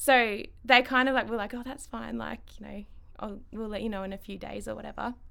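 In an Australian accent, a woman speaks at a fairly high pitch with a bright, sharp tone and fairly even intonation. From Ballarat, Victoria, Australia. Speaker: eyebrow salon owner. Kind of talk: casual interview chat. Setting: studio.

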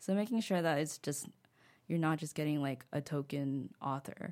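In a very clean recording with a silent background, a woman speaks at a moderate pace with vocal fry. Her pitch is very deep and low, her tone dark and mellow. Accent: American. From United States. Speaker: blogger and illustrator, author. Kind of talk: casual interview chat. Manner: casual, laughs often, filler words.

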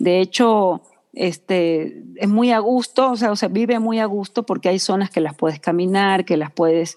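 A woman talks at a moderate pace and a medium pitch, with ordinary pitch variation. She has a plain, everyday voice. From Ecuador. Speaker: communicator and designer, floral therapist. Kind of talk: interview.

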